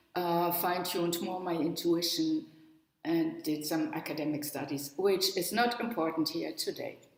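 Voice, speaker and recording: In a German accent, a woman with a fairly low pitch and ordinary pitch variation speaks at a moderate pace, with audible room echo. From northern Germany, near the Danish border. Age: 70s. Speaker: spiritual workshop leader and psychologist. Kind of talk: webinar talk.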